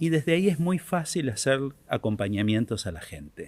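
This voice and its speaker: Very wide pitch swings mark speech delivered at a fairly slow pace. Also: man. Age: 70s. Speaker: author and workshop creator. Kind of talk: podcast interview. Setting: theater. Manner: hesitant with filler words.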